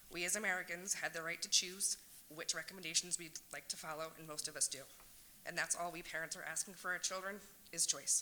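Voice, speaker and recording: At a very fast pace, a woman speaks at a fairly low pitch in a monotone, flat intonation. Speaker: parent speaking at public comment. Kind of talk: prepared public comment. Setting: public meeting.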